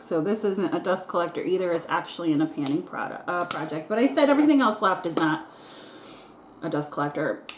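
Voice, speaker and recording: Amid noticeable background noise, a woman with a fairly low pitch speaks at a very fast pace with lively intonation. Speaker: beauty vlogger. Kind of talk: casual get-ready-with-me vlog. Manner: chatty, filler-heavy.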